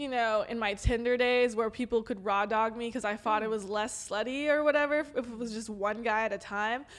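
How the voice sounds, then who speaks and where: In an ordinary speaking voice with an American accent, the speaker moves at a fairly quick pace with fairly even intonation and hardly any pauses. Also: woman, fairly high pitch for a woman. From Los Angeles, San Fernando Valley. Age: 20s. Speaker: adult content creator. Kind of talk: casual chat.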